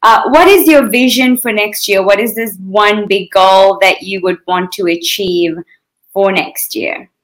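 This woman has a normal speaking voice at a medium pitch. She speaks at a fairly slow pace with ordinary pitch variation. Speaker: interviewer. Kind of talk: fireside chat interview. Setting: video call.

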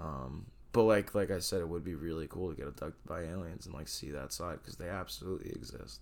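A man speaks with a very deep, low pitch and vocal fry. He leaves hardly any pauses. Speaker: guest co-host. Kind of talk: casual chat.

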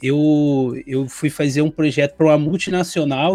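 An ordinary speaking voice belongs to this man, who talks at a moderate pace with a fairly high pitch in a dry, close sound with no echo. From Brazil. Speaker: e-commerce consultant, co-host. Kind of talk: casual chat.

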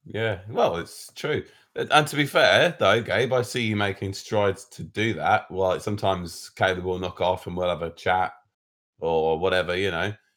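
On a very clean recording with a silent background, a man speaks at a moderate pace with a British accent. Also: fairly low pitch for a man, ordinary pitch variation. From Britain. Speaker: podcast co-host. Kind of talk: casual chat.

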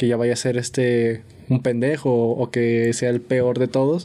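A man with a Mexican accent talks in a dark, mellow tone at medium pitch, his intonation monotone and flat. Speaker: podcast host. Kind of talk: casual chat.

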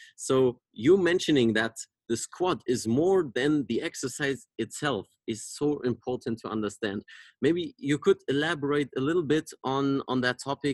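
A man with a German accent, fairly high pitch and ordinary pitch variation, in a dry, close sound with no echo. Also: moderate pace. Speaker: podcast host, mobility coach. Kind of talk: interview. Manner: halting.

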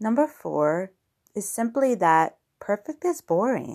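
A woman with a slight New York accent and very wide pitch swings, on a very clean recording with a silent background. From New York, US. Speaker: podcast host and blogger. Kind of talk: solo podcast monologue. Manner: friendly, conversational, some filler words.

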